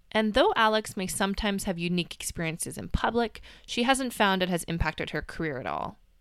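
Talking at a very fast pace, a woman with a medium pitch uses lively intonation and vocal fry in a very clean recording with a silent background. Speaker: podcast host and science communicator. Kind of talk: scripted narration. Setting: home closet recording.

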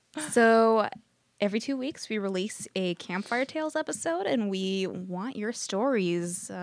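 At a fairly slow pace, a woman with a medium pitch speaks with lively intonation in a very clean recording with a silent background. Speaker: podcast co-host.

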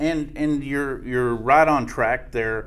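Going at a fairly slow pace, a man with an American accent has an unremarkable speaking voice and ordinary pitch variation. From Jack County, Texas. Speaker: extension economist. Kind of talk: expert interview.

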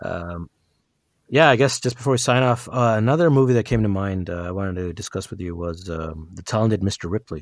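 A man with an unremarkable speaking voice and a fairly low pitch talks at a fairly quick pace with lively intonation. His loudness swings a lot, and the recording is very clean with a silent background. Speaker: podcast co-host. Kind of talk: casual chat.

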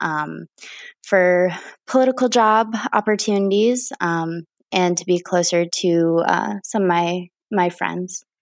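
A woman with an American accent talks at a fairly slow pace and fairly low pitch with ordinary pitch variation, on a very clean recording with a silent background. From Wisconsin, US Upper Midwest. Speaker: political organizer. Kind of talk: casual interview. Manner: hesitant, frequent filler words.

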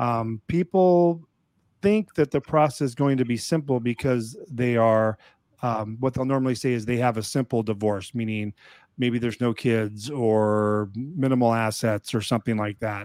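A normal speaking voice from a man, at a moderate pace with ordinary pitch variation. The sound is dry and close, with no echo. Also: medium pitch for a man. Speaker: divorce paperwork service host. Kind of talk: live online office hours Q&A chat. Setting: live video stream on social media.

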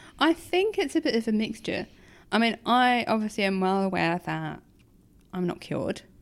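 With a normal speaking voice, this speaker uses lively intonation at a moderate pace on a very clean recording with a silent background. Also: woman, fairly high pitch for a woman. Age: 30s. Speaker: kidney transplant patient. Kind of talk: interview.

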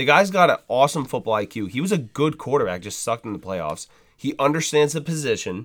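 A man with vocal fry talks very fast at a fairly high pitch, his voice swinging very widely in pitch. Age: 20s. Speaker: sports podcast co-host. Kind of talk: casual chat.

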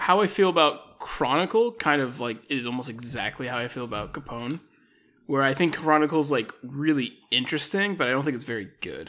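With a bright, sharp tone and lively intonation, a man with a fairly high pitch speaks at a fairly quick pace. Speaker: friend of host, guest. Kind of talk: casual chat.

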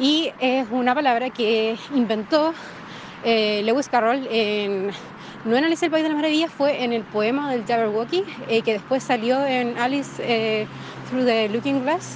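Noticeable background noise sits behind a voice whose pitch rises and falls in an ordinary way. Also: woman, high pitch for a woman. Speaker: listener sending audio comments. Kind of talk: recorded voice message.

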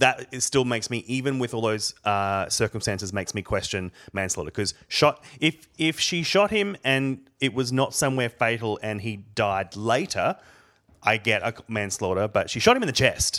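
A man with an Australian accent speaks at a medium pitch and a moderate pace, his tone bright and sharp with ordinary pitch variation. The recording is very clean, with a silent background. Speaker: podcast co-host. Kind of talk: casual chat.

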